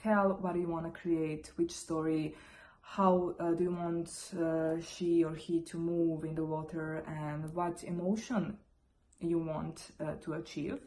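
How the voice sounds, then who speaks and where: Speaking with a non-native accent, a woman uses a fairly low pitch and a very slow pace. Her intonation is monotone and flat. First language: not English. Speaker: photographer. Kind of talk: tutorial. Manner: halting.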